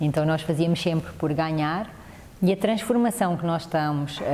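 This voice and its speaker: Speaking in a European Portuguese accent, a woman uses a fairly low pitch and ordinary pitch variation. She keeps a moderate pace over noticeable background noise. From Portugal. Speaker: mediation specialist. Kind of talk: TV interview.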